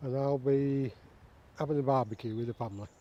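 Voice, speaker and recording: Dry, close sound with no echo carries a man with a Lancashire accent speaking at a fairly slow pace in a dark, mellow tone. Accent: northern English (Lancashire). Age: 60s. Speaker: bushcraft vlogger. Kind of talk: casual vlog talk to camera. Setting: outdoors in woodland.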